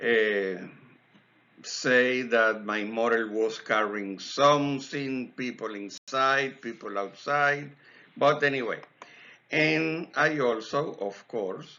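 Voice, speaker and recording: A man speaks at a very slow pace. His medium pitch shows ordinary variation. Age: 50s. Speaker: scale model hobbyist. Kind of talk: tutorial. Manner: casual.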